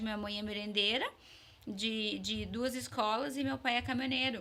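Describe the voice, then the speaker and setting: A woman speaks at a fairly high pitch and moderate pace. Noticeable background noise is present. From Vacaria, Rio Grande do Sul, Brazil. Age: 30s. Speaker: dentist. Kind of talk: interview.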